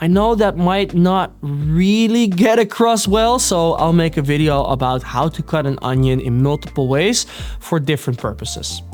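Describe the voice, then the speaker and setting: A man with a Dutch accent talks at a moderate pace and fairly high pitch, with lively intonation and noticeable background noise. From Netherlands, Amsterdam. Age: 20s. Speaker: home cooking youtuber. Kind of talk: casual Q&A to camera.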